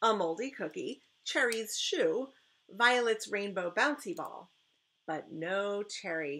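A natural reading voice comes through with a quiet background.

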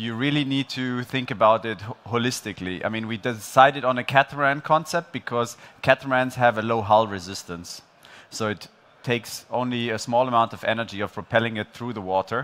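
A man at a fairly quick pace, with ordinary pitch variation. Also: big swings in loudness. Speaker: presenter. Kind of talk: conference talk. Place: stage. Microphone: headset.

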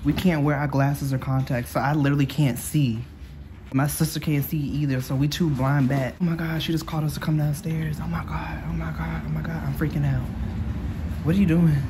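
A woman talks at a fairly quick pace over noticeable background noise. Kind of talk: casual vlog chat. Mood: nervous, anxious.

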